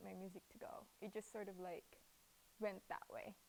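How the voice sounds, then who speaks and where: A woman speaks with a Cebuano accent. Her pace is moderate. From Philippines. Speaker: rapper and hip-hop artist. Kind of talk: interview. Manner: hesitant, many fillers.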